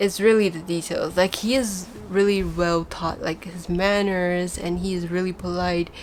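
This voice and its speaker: In a Chinese accent, a woman talks at a moderate pace with hardly any pauses, her medium-pitched voice monotone and flat in intonation. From Taiwan (Taipei). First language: Mandarin Chinese. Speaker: fan vlogger and artist. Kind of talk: casual vlog talk.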